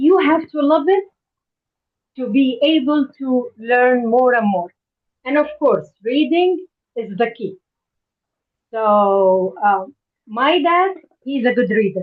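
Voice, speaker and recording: Speaking with an Arabic accent, a woman uses a high voice with very wide pitch swings. She talks at a very slow pace with long, frequent pauses. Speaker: parent participant. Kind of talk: personal testimony. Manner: halting.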